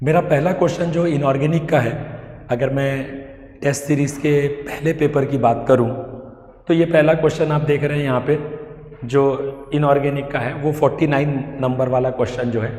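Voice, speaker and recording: Over noticeable background noise and an audible room echo, a man speaks at a fairly high pitch with fairly even intonation. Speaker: chemistry teacher. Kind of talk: lecture.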